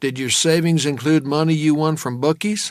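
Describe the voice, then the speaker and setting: A man's put-on character voice, fairly high in pitch, with fairly even intonation and a moderate pace. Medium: read story. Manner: blunt, terse.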